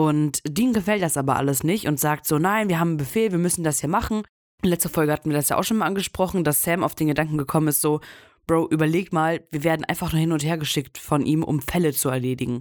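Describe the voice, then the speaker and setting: A woman speaks very fast in a very deep, low voice, with very even loudness and ordinary pitch variation. The recording is very clean, with a silent background. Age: 20s. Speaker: podcast co-host. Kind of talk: casual chat.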